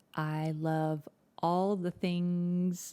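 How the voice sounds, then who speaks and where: A woman with a fairly low voice, recorded very cleanly against a silent background, with a dry, close sound and no echo. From USA. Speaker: podcast co-host. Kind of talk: casual chat.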